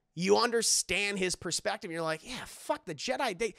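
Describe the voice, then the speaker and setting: In a raised, projected voice, a man speaks at a fairly quick pace with very wide pitch swings against a quiet background. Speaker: streamer. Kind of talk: casual live stream commentary. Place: home room. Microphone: studio mic.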